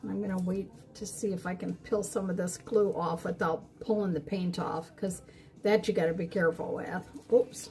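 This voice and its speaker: Noticeable background noise surrounds a woman speaking at a moderate pace and a medium pitch with fairly even intonation. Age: 60s. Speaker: crafter streaming live. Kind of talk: live stream craft demo chat. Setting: live stream. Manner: casual, many fillers.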